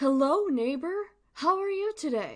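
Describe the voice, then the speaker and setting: A woman puts on a character voice, speaking at a fairly slow pace with an extremely high pitch. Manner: cheerful, welcoming.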